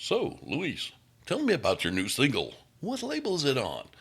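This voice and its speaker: Putting on a character voice, a man talks at a moderate pace in a fairly high pitch. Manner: smooth, polished broadcaster delivery.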